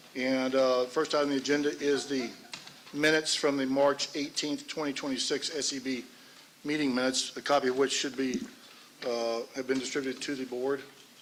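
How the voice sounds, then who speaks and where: A man's fairly high-pitched, monotone, flat delivery over noticeable background noise. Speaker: election board chairman. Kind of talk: formal public meeting. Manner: fast.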